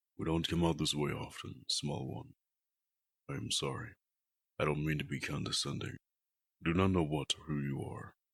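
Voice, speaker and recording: A man uses a put-on character voice with a very deep, low pitch. He keeps a moderate pace. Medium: audio drama. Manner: formal, measured.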